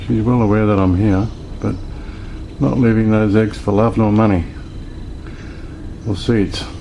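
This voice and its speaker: A man with an Australian accent speaks quietly and at very even loudness, his intonation fairly even, leaving long, frequent pauses amid audible room echo and noticeable background noise. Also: fairly low pitch for a man, moderate pace. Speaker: amateur nature videographer. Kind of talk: casual nature vlog. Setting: outdoors in a horse stable.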